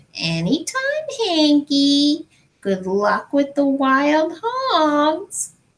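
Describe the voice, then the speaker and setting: A put-on character voice, high-pitched, at a very slow pace. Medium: read story. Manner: sly, drawn-out, teasing.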